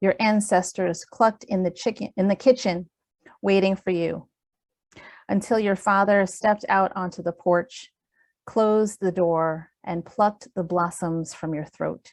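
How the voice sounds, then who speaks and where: A woman at a medium pitch speaks at a fairly slow pace with fairly even intonation. The very clean recording has a silent background and a dry, close sound with no echo. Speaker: poet. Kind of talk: poetry reading.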